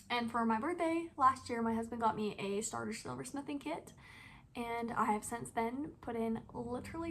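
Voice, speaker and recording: A plain, everyday voice speaking at a moderate pace with lively intonation. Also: woman. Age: 20s. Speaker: stay-at-home mom and hobby silversmith vlogger. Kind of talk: casual vlog monologue.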